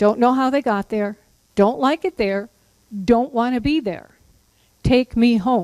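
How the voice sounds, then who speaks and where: In a dry, close recording with no echo, a woman with a high pitch and ordinary pitch variation speaks fairly slowly, leaving long, frequent pauses. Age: 70s. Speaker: caregiving educator. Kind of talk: lecture.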